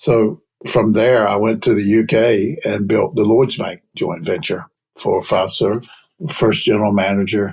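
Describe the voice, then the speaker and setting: In a North Carolina accent, a man speaks at a moderate pace in a fairly low pitch with ordinary pitch variation. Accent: Southern US (North Carolina). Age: 70s. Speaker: payments executive, investment banker. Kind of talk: interview.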